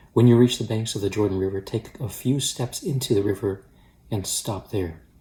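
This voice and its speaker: Soft-spoken and somewhat breathy, a man speaks at a fairly quick pace with a dark, mellow tone, fairly low pitch, and fairly even intonation. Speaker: pastor. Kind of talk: daily devotional with scripture reading. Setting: at home.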